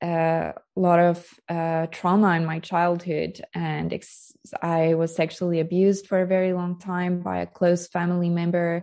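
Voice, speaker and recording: A woman's fairly low, monotone voice with flat intonation against a quiet background. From South Africa. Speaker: skincare brand founder, former human rights lawyer. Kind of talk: interview conversation.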